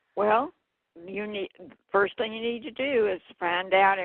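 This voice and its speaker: Speaking with a Southern US accent, a woman talks at a moderate pace and a medium pitch with ordinary pitch variation. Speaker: health activist. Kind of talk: radio interview.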